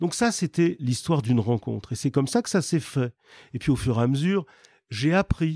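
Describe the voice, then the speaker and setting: In a very clean recording with a silent background and a dry, close sound without echo, a man with a fairly high pitch and a dark, mellow tone speaks at a moderate pace with lively intonation and very even loudness. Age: 70s. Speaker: real estate developer. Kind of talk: interview. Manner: halting.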